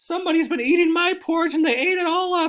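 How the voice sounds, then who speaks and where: A man's squeaky, extremely high-pitched put-on character voice at a very fast pace. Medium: read story. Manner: repetitive complaint.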